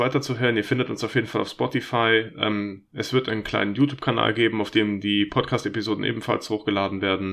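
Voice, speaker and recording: A man with ordinary pitch variation and an unremarkable speaking voice. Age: 30s. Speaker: podcast host and gamer. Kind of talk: casual chat; scripted disclaimer.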